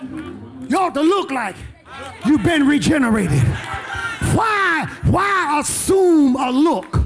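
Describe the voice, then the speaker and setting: A man's animated voice with very wide pitch swings over light background noise. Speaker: preacher. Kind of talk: sermon. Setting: church. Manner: animated, repetitive, emphatic pulpit delivery with call-and-response; exhorting, rousing, urging the congregation to respond. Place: church. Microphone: handheld.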